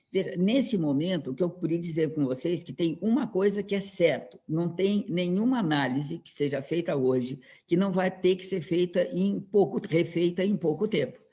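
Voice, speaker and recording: With hardly any pauses, a man talks in a dark, mellow tone at a high pitch, his pitch varying in an ordinary way while his loudness swings widely. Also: moderate pace. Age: 60s. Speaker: professor. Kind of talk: lecture. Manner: halting, many repetitions and fillers.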